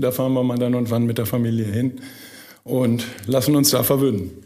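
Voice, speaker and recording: Noticeable background noise plus audible room echo. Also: man. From Münsterland, Germany (Burlo near Borken, Dutch border). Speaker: managing director of a company. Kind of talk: podcast interview. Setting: studio.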